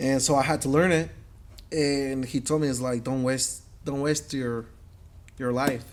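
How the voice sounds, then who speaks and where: A man with a Mexican accent speaks at a fairly slow pace with long, frequent pauses. His medium-pitched voice is flat and monotone. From Mexico. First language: Spanish. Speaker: metal artist and business owner. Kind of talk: interview conversation. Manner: halting, many fillers and repetitions.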